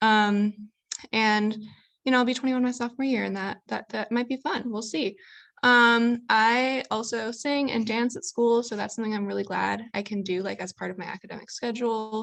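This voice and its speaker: In an unremarkable speaking voice, a woman with an American accent talks at a moderate pace and a fairly high pitch. Her intonation is fairly even, and the background is quiet. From US Midwest, Chicago. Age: 20s. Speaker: college student. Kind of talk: panel talk. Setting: video call.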